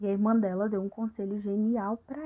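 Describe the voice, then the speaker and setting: A soft-spoken woman's voice, dark and mellow, medium in pitch, at a fairly slow pace. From Brazil. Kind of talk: ASMR, casual chat retelling a film plot.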